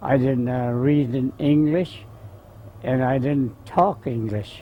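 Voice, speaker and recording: A man with a Southwestern US accent speaks very slowly. His voice is medium in pitch with ordinary variation. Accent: Navajo-accented English. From Navajo Reservation near Farmington, New Mexico. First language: Navajo. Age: 70s. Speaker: war veteran. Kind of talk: oral history interview. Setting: outdoors in the sun. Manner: halting.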